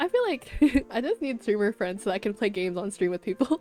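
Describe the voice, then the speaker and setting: A woman speaks at a fairly quick pace with music in the background. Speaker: vtuber streamer. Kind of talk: casual chat. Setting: live stream. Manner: fast; stumbling over words.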